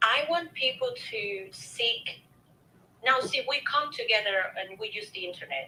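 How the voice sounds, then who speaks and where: A high-pitched woman with a non-native accent speaks at a fairly slow pace with lively intonation. Her tone is bright and sharp, and her loudness swings widely. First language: not English. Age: 30s. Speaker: show host sharing personal story. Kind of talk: interview testimony.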